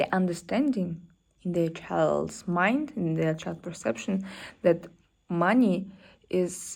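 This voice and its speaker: A woman with a fairly low pitch and a non-native accent, very slow in pace, on a very clean recording with a silent background. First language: not English. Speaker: self-development vlogger. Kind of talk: solo vlog talk. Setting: apartment or co-working space. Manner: halting, many fillers.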